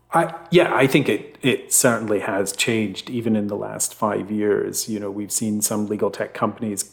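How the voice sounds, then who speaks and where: Here a man is speaking. He talks with a Scottish accent. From Scotland, Fife. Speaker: legal tech executive. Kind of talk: interview.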